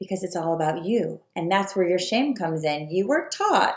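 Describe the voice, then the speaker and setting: A woman's plain, everyday voice at medium pitch, with lively intonation. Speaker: spiritual coach. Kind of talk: video talk to viewers.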